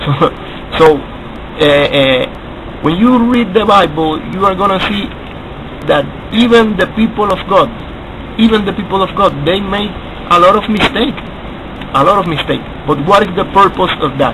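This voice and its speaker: A man with a high voice speaks at a moderate pace, stopping often for long pauses. Noticeable background noise runs under the recording. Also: ordinary pitch variation. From Latin America. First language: Spanish. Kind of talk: video response monologue. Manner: halting, repetitive.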